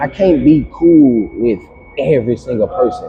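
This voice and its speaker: The speaker has an American accent and talks at a fairly slow pace. There is noticeable background noise. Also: man. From Louisiana, US South. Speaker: podcast guest. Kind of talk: casual chat. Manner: relaxed, filler-heavy speech.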